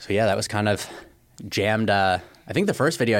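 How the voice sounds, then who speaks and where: A man talks in a plain, everyday voice with an American accent. His pitch is fairly low and his intonation fairly even. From Northern California. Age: 20s. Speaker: YouTube car creator. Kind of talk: casual chat. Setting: studio.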